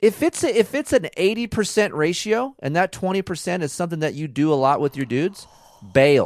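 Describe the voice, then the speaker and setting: Loud and fairly quick, a high-pitched man swings his pitch very widely, recorded dry and close with no echo on a very clean, silent background. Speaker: podcast co-host, dirt bike racer. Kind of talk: casual chat. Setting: home recording.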